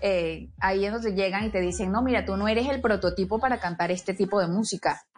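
A woman with a medium pitch and vocal fry talks at a very fast pace with hardly any pauses. Her loudness stays very even and her intonation fairly even. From Venezuela, Barinas (llanos). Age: 20s. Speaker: violinist and singer. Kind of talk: interview.

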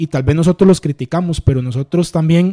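A man with a fairly high pitch and a dark, mellow tone talks at a fairly quick pace with ordinary pitch variation. The sound is dry and close, with no echo. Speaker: youth pastor and church sound technician. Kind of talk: casual interview about faith. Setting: at home.

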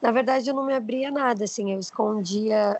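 Speaking at a moderate pace with fairly even intonation, a woman has an unremarkable speaking voice and a fairly high pitch. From Brazil, Osasco (São Paulo). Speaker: social media influencer. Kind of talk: casual interview chat.

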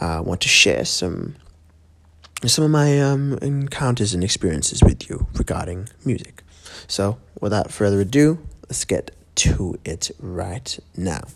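Quiet and at a fairly low pitch, a man talks at a fairly slow pace with very wide pitch swings. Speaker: podcast host and musician. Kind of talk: casual monologue. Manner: quiet, kept down; hesitant, many fillers.

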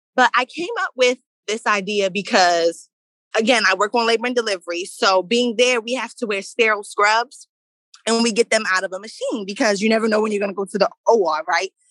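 A woman talks in an unremarkable speaking voice at a fairly quick pace. Her pitch is fairly high, with ordinary variation. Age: 20s. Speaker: nursing student and small business owner. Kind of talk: interview.

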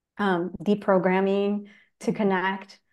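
In a Spanish accent, a woman talks at medium pitch and a fairly slow pace against a quiet background. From Chile. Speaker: spiritual teacher and energy healer. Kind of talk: casual interview chat.

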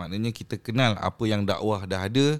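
With a very clean recording and a silent background, a man speaks at a moderate pace in an unremarkable speaking voice with fairly even intonation. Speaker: Islamic religious teacher. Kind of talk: casual podcast interview on religion. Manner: code-switching Malay and English.

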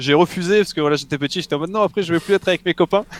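The sound is dry and close with no echo as a man talks with fairly even intonation. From southeastern France (Mougins, near Cannes). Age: 20s. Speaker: esports player and streamer. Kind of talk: interview.

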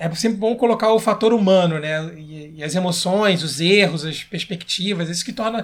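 In a high voice, a man talks at a moderate pace with ordinary pitch variation. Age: 30s. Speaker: game commentator and history teacher. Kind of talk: casual interview chat.

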